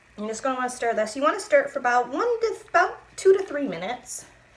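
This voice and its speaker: A woman's high-pitched voice at a fairly quick pace, over noticeable background noise. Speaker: crafter making epoxy tumblers. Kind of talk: tutorial. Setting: home craft room. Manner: casual, with many fillers.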